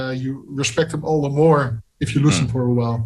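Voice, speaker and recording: A man with a Dutch accent at a fairly high pitch, his intonation fairly even. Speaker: music interviewer. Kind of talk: interview.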